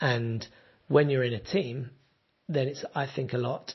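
Somewhat breathy, a man speaks at a moderate pace and medium pitch with ordinary pitch variation. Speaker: podcaster and musician. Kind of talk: solo podcast monologue, casual and rambling. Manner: rambling, conversational.

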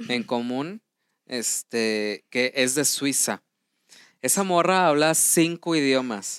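Lively intonation and a Mexican accent come through on a very clean recording with a silent background and a dry, close sound with no echo. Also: man. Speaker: podcast co-host. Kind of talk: casual chat.

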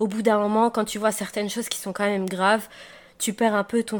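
On a very clean recording with a silent background, a woman speaks at a medium pitch with monotone, flat intonation. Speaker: podcast co-host. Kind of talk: casual chat.

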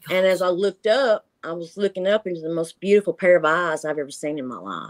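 With a Tennessee accent, a woman speaks at a medium pitch with ordinary pitch variation. The sound is dry and close, with no echo. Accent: US Southern (Tennessee). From Tennessee, Marshall County. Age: 50s. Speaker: retired grandmother recounting cryptid encounters. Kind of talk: interview, personal experience accounts.

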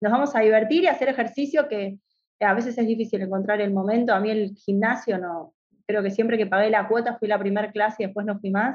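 Speaking very fast, a woman with a Rioplatense accent uses a fairly high voice. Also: ordinary pitch variation. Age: 40s. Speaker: veterinarian and university lecturer. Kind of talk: casual interview.

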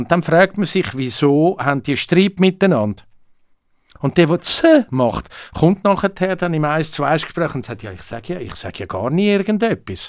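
A man with a high pitch and a Swiss accent speaks at a moderate pace with lively intonation and big swings in loudness, in a dry, close sound with no echo on a very clean recording with a silent background. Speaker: comedian. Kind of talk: casual chat. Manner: animated.

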